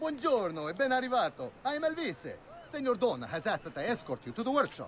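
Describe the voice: A man's put-on character voice, extremely high in pitch, with big pitch swings, a fairly bright tone and a fast pace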